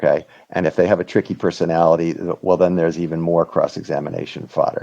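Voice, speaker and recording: A man speaks at a very fast pace with a very deep, low pitch. His tone is dark and mellow, his intonation monotone and flat. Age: 60s. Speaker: whistleblower lawyer. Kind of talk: interview conversation. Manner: halting, many fillers.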